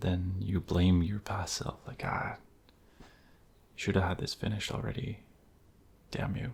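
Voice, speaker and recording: A soft-spoken man with a very deep, low pitch and a calm tone, talking at a fairly slow pace with fairly even intonation and long, frequent pauses. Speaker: ASMR creator. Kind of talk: soft-spoken ASMR affirmations. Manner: soft-spoken, calm.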